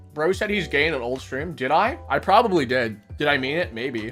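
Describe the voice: A fairly high-pitched man speaking at a fairly quick pace with very wide pitch swings, music in the background.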